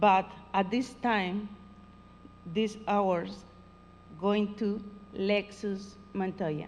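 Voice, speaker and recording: Here a woman talks at medium pitch. She has a Spanish accent. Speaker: Spanish teacher. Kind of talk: award ceremony speech. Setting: school award ceremony. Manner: halting.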